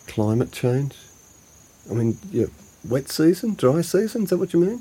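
Putting on a character voice, a man speaks at a fairly high pitch and a moderate pace, with big pitch swings, a dark, mellow tone and a husky, rough edge.

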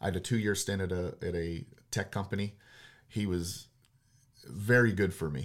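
A man in a Western Pennsylvania accent, fairly low in pitch, with fairly even intonation, on a very clean recording over a silent background. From Pittsburgh, Pennsylvania. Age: 40s. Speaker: real estate investor. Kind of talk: casual chat.

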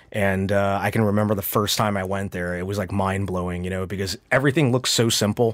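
With a General American accent, a man speaks very fast in fairly even intonation. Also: fairly low pitch for a man. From US, suburbs of Washington D.C. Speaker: watch dealer and collector. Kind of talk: casual interview. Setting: studio.

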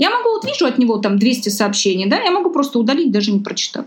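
A woman talks at a very fast pace in a high pitch, with very wide pitch swings. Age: 30s. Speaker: psychologist. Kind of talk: casual chat. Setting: live stream.

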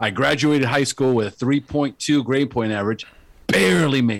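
An unremarkable speaking voice: a man with an American accent talks at a moderate pace in a medium pitch with ordinary pitch variation, in a very clean recording with a silent background. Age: 50s. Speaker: life coach. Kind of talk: interview.

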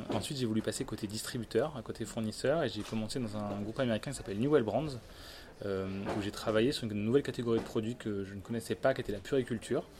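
Very rapid male speech at a mid pitch, with normal rises and falls in tone. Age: 30s. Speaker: e-commerce executive. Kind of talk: interview. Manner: hesitant, many fillers.

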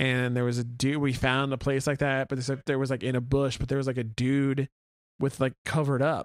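A man with an American accent speaks at a fairly quick pace in a flat monotone, recorded dry and close with no echo. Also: medium pitch for a man. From Oklahoma City, south side. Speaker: podcast co-host, radio worker. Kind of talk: casual chat.

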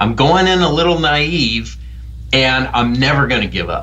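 A man talks at a moderate pace, and audible room echo surrounds his voice. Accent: American. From US Midwest. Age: middle-aged. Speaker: film director and professor. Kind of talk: interview.

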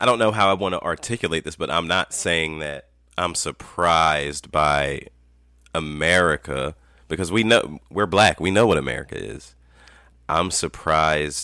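A man speaks with a very deep, low pitch, a bright, sharp tone and vocal fry. The recording is very clean, with a silent background. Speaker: podcast guest. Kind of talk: casual chat.

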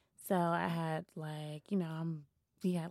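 A woman speaks with an American accent in a fairly low pitch. Her tone is dark and mellow, and her intonation is monotone and flat. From Washington, D.C. (Shaw neighborhood). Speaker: community activist and youth mentor. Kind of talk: casual interview. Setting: studio.

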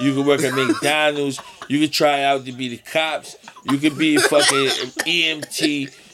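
Noticeable background noise accompanies a man speaking at a fairly slow pace in a fairly high pitch with monotone, flat intonation. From Connecticut (Avon, near Hartford). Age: 30s. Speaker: rapper. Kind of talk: casual chat.

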